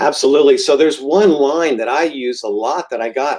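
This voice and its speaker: A man speaking at a moderate pace. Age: 60s. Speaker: realtor. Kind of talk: casual chat. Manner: hesitant with many ums.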